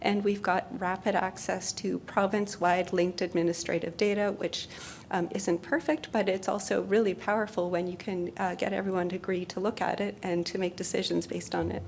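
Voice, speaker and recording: A soft-spoken woman talks at a fairly quick pace with hardly any pauses, her pitch medium and her intonation fairly even. She has a Canadian accent, and there is noticeable background noise. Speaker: health researcher. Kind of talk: conference presentation.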